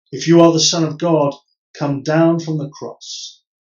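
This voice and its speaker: A man's voice with audible room echo and a quiet background. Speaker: Church of England priest. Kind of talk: solemn Gospel reading. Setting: pre-recorded virtual service. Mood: solemn, measured. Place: home room. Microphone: camera far.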